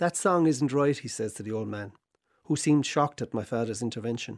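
With a southern Irish accent, a man talks at a very fast pace and a medium pitch, his intonation lively. The sound is dry and close with no echo, in a very clean recording with a silent background. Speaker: essay contributor. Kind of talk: reading aloud.

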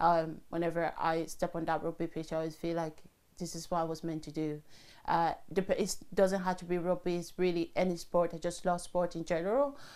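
Fairly quick speech from a woman with a French accent, fairly low in pitch, her intonation fairly even, on a very clean recording with a silent background. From Cameroon. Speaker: rugby player and nurse. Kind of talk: interview. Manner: hesitant, with many fillers.

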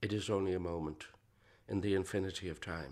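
Over a silent background on a very clean recording, a man with an Irish accent talks at a moderate pace. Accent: Irish (Clare). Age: 60s. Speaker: traditional musician. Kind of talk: reflective interview narration.

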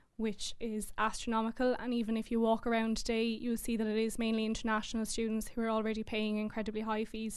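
A woman with an Irish accent speaks very fast in a fairly high voice. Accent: Tipperary Irish. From Ireland, Clonmel, County Tipperary. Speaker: university student. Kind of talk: audience question. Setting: stage with audience.

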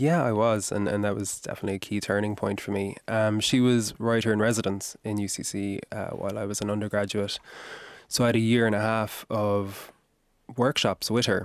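His pitch is fairly low for this man. He talks at a moderate pace with fairly even intonation. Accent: Kerry. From Ireland, Kerry. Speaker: novelist. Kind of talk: radio interview. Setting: radio studio.

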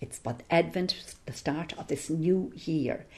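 A woman speaks with an Irish accent in a fairly low pitch. Her tone is dark and mellow, and somewhat breathy. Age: 60s. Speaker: singer and theology scholar. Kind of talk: interview.

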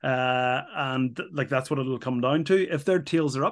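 With an Irish accent, a man talks at a moderate pace and medium pitch, his intonation fairly even. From Ireland. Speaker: former rugby player and pundit. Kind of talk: casual chat.

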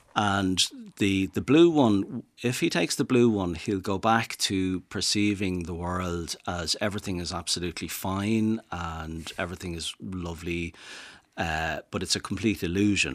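The recording is very clean, with a silent background, and a man speaks at a fairly slow pace. His pitch is very deep and low, and it varies in an ordinary way. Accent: Dublin. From Dublin, Ireland. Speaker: rewilding advocate and author. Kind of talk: radio interview. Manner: halting, repeats words.

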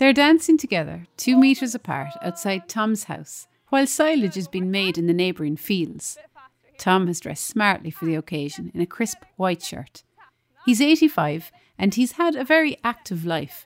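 A woman with an Irish accent and very wide pitch swings. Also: medium pitch for a woman, moderate pace, dry, close sound with no echo. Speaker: radio reporter. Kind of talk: scripted narration.

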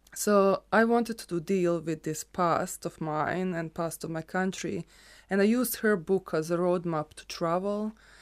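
The recording is very clean, with a silent background, as a woman speaks in a Croatian accent at a medium pitch. Her intonation is fairly even, with big swings in loudness. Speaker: photographer. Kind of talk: casual conversation.

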